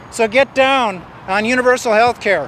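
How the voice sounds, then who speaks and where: Through noticeable background noise, a man with an extremely high pitch speaks in fairly even intonation. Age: 60s. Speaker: peace activist speaking at an event. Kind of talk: open-mic speech.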